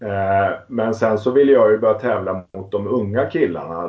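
An unremarkable speaking voice, this man talks at a moderate pace with a fairly low pitch. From Småland, Sweden (Västervik). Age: 50s. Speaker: entrepreneur and amateur cyclist. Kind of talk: interview.

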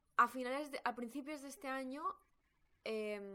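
A woman talks with a bright, sharp tone. Her pitch varies in an ordinary way. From Spain. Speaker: podcast host, personal growth coach. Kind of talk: personal storytelling monologue.

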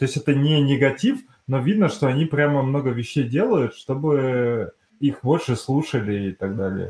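With ordinary pitch variation and a somewhat breathy voice, a man speaks at a moderate pace against a quiet background. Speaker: podcast host. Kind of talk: casual chat.

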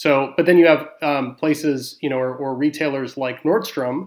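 Delivered at a moderate pace with fairly even intonation, the speech carries an American accent in a very clean recording with a silent background. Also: man. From Houston, Texas. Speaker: retail loyalty consultant. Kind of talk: panel discussion on loyalty programs.

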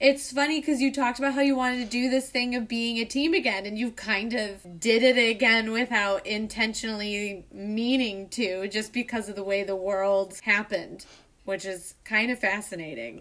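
A woman's fairly high-pitched voice with a Chicago accent and hardly any pauses. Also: ordinary pitch variation, moderate pace. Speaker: podcast host and theater co-founder. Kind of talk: casual interview.

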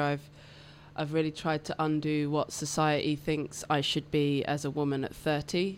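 With a British accent, a woman speaks at a very deep, low pitch. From England. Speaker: electrician and portrait artist. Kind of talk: casual interview chat. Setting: radio studio.

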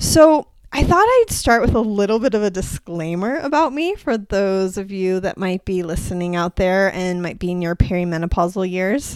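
A woman speaks in an ordinary speaking voice at a medium pitch and a moderate pace. Her intonation is lively, with hardly any pauses. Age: 40s. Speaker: podcast host, women's health practitioner. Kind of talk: solo podcast monologue. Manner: casual, with fillers.

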